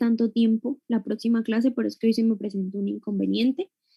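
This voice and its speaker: A woman's fairly high, somewhat breathy voice, dark and mellow in tone, with a dry, close sound and no echo. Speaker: university lecturer. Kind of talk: lecture.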